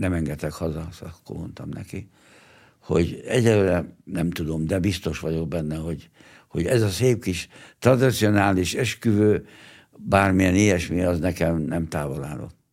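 On a very clean recording with a silent background, a man with a very deep, low voice talks at a moderate pace with ordinary pitch variation. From Hungary, Pomáz near Budapest. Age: 80s+. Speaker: 1956 revolution veteran. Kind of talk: testimony. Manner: halting, with many repetitions.

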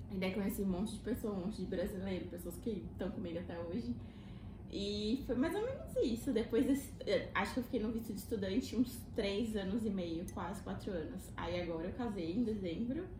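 A woman speaks at a fairly quick pace with a medium pitch and ordinary pitch variation. Noticeable background noise and audible room echo are present. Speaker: Brazilian immigrant, physiotherapy graduate. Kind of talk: casual chat.

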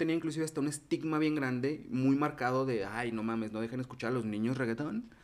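This man, pitched in the medium range, speaks at a very fast pace. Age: 30s. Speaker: podcast host. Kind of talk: casual chat.

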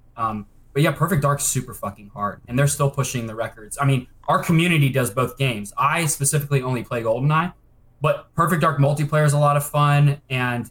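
At a fairly quick pace, a man with a fairly high pitch uses a plain, everyday voice with ordinary pitch variation. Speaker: speedrunner. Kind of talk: casual chat.

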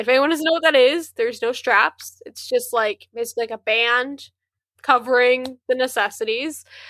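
A woman's high, raised and projected voice with a bright, sharp tone, at a moderate pace. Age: 20s. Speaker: podcast co-host. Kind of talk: casual chat. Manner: animated.

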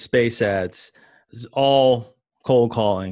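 A man speaks in a normal speaking voice at a medium pitch. His pitch varies in an ordinary way against a quiet background. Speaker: podcast host. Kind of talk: interview.

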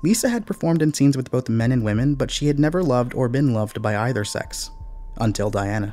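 Over music in the background, a man at medium pitch talks at a very fast pace with lively intonation. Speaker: podcast narrator and investigator. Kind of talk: scripted dramatic narration of a true-crime style story.

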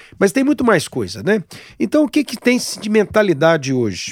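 A man's voice with very wide pitch swings at a moderate pace, dry and close with no echo, in a very clean recording over a silent background. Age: 60s. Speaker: gynecologist. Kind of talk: casual interview.

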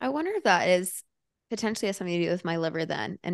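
With an American accent, a woman speaks very fast in an animated tone at a fairly low pitch, the sound dry and close with no echo over a quiet background. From Alabama and Florida. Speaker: podcast host. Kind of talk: casual interview chat. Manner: animated, excitable.

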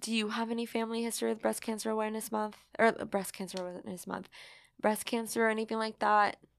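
Speaking very fast in a Californian accent, a woman keeps a fairly high pitch and a monotone, flat intonation on a very clean recording with a silent background. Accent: general American, Californian. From San Francisco Bay Area, US. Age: 20s. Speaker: podcast host. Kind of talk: casual chat.

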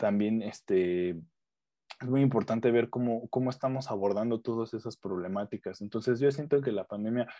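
Speaking fairly quickly, a man talks in a Mexican accent. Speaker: food chemist. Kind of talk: casual chat.

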